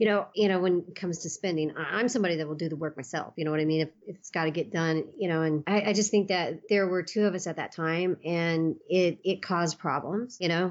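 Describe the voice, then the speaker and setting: A woman's fairly low-pitched voice at a very fast pace. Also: ordinary pitch variation. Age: 50s. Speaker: MMA promotion president. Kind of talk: interview. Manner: halting, many fillers.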